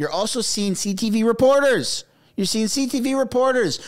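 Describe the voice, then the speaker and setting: Against a quiet background, a man with a Canadian accent speaks in an animated tone. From Canada. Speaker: political commentary YouTuber. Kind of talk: casual commentary. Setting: home studio with microphone. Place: home room. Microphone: studio mic.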